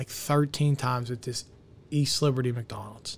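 Here a man with an American accent has an unremarkable speaking voice, a fairly high pitch, ordinary pitch variation and a moderate pace. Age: 30s. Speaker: restaurant owner. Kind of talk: casual chat.

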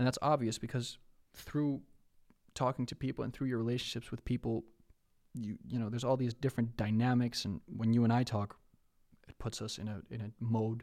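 A man with a Dutch accent speaks at a fairly quick pace and medium pitch, taking long, frequent pauses. His intonation is fairly even, and the recording is very clean with a silent background. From Netherlands. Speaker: rapper and creative entrepreneur. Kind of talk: casual chat.

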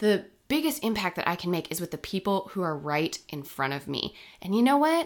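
On a very clean recording with a silent background, a woman speaks fairly quickly, her pitch swinging very widely. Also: medium pitch for a woman. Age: 30s. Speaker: podcast host. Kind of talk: casual chat.

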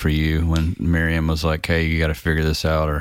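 The recording is very clean, with nothing audible in the background. A man's voice sounds very deep and low. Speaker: podcast host. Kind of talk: casual interview. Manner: warm, friendly.

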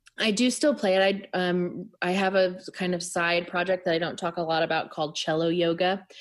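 A woman with a normal speaking voice talks at a moderate pace and fairly low pitch, her intonation fairly even and hardly any pauses between words. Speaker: author and musician. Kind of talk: casual interview chat.

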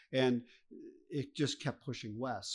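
Speaking with an American accent, a man uses a medium pitch and fairly even intonation. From Chicago. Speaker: live music venue owner. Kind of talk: interview. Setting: venue.

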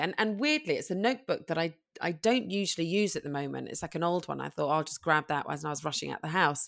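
A woman's fairly low voice with a London accent, on a very clean recording with a silent background. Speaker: model and parenting blogger. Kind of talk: casual interview chat.

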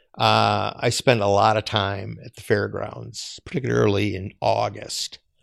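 In an Upper Midwest accent, a man talks with big swings in loudness. The background is quiet. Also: fairly slow pace, hardly any pauses. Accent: Upper Midwest (Minnesota). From Minnesota, Twin Cities area. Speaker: fair volunteer and foundation worker. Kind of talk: casual chat. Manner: halting.

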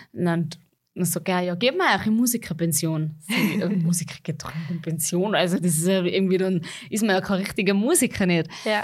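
A woman speaks at a very fast pace in a Salzburg Austrian accent. Her pitch is medium, with ordinary pitch variation. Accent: rural Salzburg Austrian dialect. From Austria, Salzburg region, rural farm. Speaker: pop-schlager singer. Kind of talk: interview.

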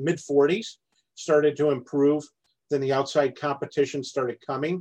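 A man with an American accent and an unremarkable speaking voice talks at a moderate pace in a fairly high pitch. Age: 50s. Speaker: farmer. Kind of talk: podcast interview.

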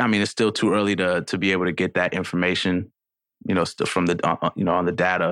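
With a New York accent, a man speaks very fast in a very deep, low pitch, his intonation monotone and flat and his loudness very even, over a quiet background. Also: dry, close sound with no echo. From New York City. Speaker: rapper. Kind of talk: casual chat.

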